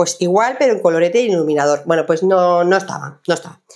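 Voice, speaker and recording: Against a quiet background, a woman is talking. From Jaén, Andalusia, Spain. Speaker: lifestyle vlogger. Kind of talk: casual haul video monologue. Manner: hesitant, many fillers. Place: home room.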